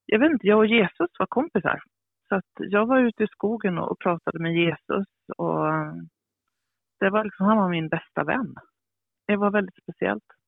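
At a moderate pace and medium pitch, a woman talks with ordinary pitch variation and long, frequent pauses. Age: 50s. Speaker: author and publisher. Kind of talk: interview.

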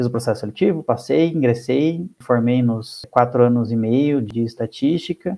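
At a moderate pace and with ordinary pitch variation, a man talks in an unremarkable speaking voice. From Curitiba, southern Brazil. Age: 30s. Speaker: statistician and professor. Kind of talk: interview about research.

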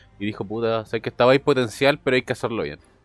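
A man speaks at a very fast pace with a Chilean accent. His intonation stays fairly even. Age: 20s. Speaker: podcast co-host. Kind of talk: casual chat.

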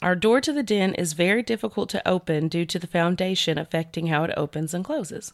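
A woman talks at a very fast pace with hardly any pauses and lively intonation. Her fairly low pitch comes through in a dry, close sound with no echo. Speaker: podcast host. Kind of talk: casual chat, storytelling. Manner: animated, chatty.

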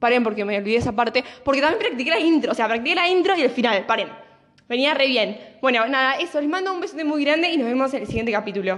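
With a Rioplatense accent, a woman talks at a very fast pace in a high pitch, her tone animated and her intonation lively, over noticeable background noise. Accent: Argentine Rioplatense Spanish. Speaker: podcast host. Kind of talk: casual monologue.

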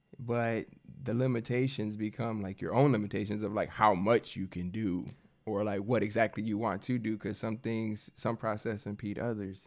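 A man with an American accent, a plain, everyday voice, fairly low in pitch, at a moderate pace with fairly even intonation and a quiet background. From US Midwest, Michigan. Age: 20s. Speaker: barber. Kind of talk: casual chat.

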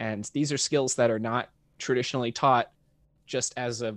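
A man with a plain, everyday voice speaks at a medium pitch on a very clean recording with a silent background. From North Texas, Dallas-Fort Worth suburbs. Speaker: film composer. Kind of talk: interview conversation.

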